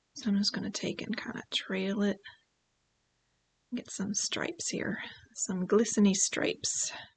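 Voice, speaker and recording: A woman talks at a fairly slow pace, leaving long, frequent pauses. Her voice is somewhat breathy, at a medium pitch with ordinary pitch variation. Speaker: painting instructor. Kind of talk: live-streamed painting tutorial. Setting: livestream. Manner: casual, chatty.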